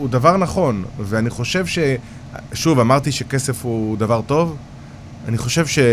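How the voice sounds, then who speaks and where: Medium pitch from a man, ordinary pitch variation, and noticeable background noise. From Israel, Haifa bay suburbs (Krayot). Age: 40s. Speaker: real estate developer. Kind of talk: interview.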